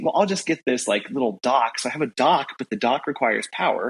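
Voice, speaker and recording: A man speaks with vocal fry in a dry, close sound with no echo. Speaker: podcast co-host. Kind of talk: casual chat. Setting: remote recording from a new room. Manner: halting, many fillers.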